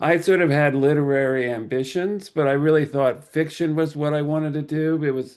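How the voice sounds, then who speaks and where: Against a quiet background, a man with an American accent uses a plain, everyday voice, fairly high in pitch with fairly even intonation. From New Jersey. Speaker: writer. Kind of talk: interview.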